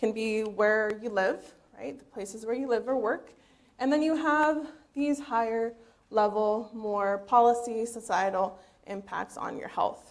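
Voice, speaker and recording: A woman's fairly high voice in a Spanish accent, fairly slow, with ordinary pitch variation. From eastern Washington, US. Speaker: PhD researcher. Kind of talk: lecture.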